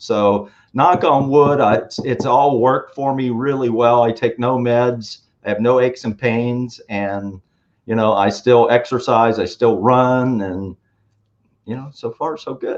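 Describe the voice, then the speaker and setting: A man speaks fairly slowly at a medium pitch, with ordinary pitch variation. He has an unremarkable speaking voice. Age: 60s. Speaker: wellness entrepreneur, guest co-host. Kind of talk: casual chat. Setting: live stream show.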